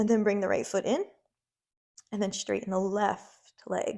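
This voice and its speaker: A raspy, put-on character voice from a woman, medium in pitch, at a moderate pace. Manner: strained, exerting.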